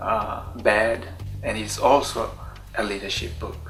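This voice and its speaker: A man speaks at a fairly slow pace with a Tswana accent. Music plays in the background, and the room echo is audible. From Botswana. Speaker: writer. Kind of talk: casual interview monologue. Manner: hesitant, many fillers.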